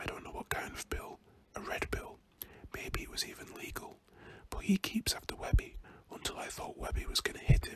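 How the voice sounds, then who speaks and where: Whispering with a British accent, a man talks at a fairly quick pace with long, frequent pauses over noticeable background noise. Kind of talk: audiobook reading. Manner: whispered.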